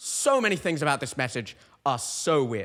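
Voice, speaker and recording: A man with a British accent speaks at a moderate pace in a bright, sharp, animated tone. The recording is very clean, with a silent background. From UK. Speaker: comedian podcaster. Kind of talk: comedic rant reading comments. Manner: halting.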